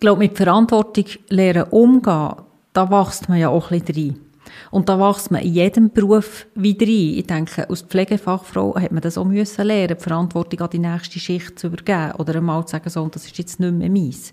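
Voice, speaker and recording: The voice moves at a fairly quick pace with fairly even intonation and a dark, mellow tone. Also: woman, medium pitch for a woman. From Emmental, canton of Bern, Switzerland. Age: 40s. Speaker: hospital CEO. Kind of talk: interview.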